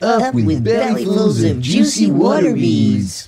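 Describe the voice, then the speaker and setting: Using a put-on character voice, a man performs his lines. He goes at a fairly slow pace. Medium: read story. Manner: hooting, cheerful.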